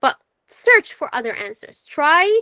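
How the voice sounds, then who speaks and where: Fairly slow, raised and projected speech from a woman with a bright, sharp tone. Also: dry, close sound with no echo. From Syria. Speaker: psychology presenter. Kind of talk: webinar lecture.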